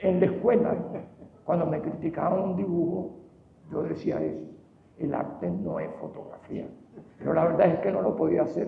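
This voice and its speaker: A man speaks with a Venezuelan accent at a moderate pace, leaving long, frequent pauses. Noticeable background noise is present. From Venezuela, Caracas. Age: 80s+. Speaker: painter. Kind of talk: award acceptance speech.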